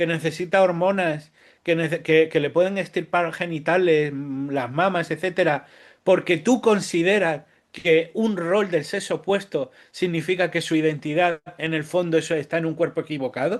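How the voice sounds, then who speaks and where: Against a quiet background, a man with a high pitch talks at a moderate pace with fairly even intonation. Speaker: writer. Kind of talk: interview. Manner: halting, many false starts.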